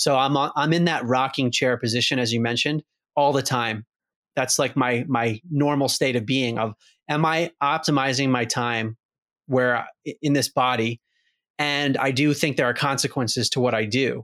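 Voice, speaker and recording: In a plain, everyday voice, a man speaks at a moderate pace and medium pitch, with very even loudness, fairly even intonation and a dry, close sound with no echo. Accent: American. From US Mid-Atlantic, outside Baltimore, Maryland. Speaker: author and speaker. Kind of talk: interview conversation.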